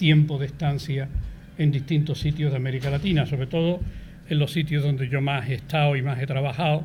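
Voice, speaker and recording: With an Andalusian accent, a man talks at a fairly quick pace in a fairly high, somewhat breathy voice with monotone, flat intonation, and the room echo is audible. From Andalusia, Seville. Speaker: professor emeritus of philosophy. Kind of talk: interview.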